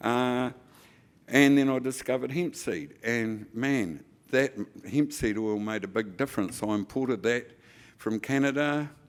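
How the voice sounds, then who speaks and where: With ordinary pitch variation, the delivery proceeds at a fairly slow pace. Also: man. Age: 70s. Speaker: hemp industry association chair. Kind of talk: conference speech. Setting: stage with audience.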